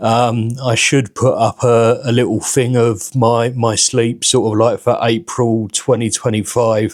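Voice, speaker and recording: Speaking at a fairly slow pace, a man with a British accent talks at medium pitch. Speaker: vlogger with liver cirrhosis. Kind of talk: casual vlog monologue. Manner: halting, many fillers and repeated words.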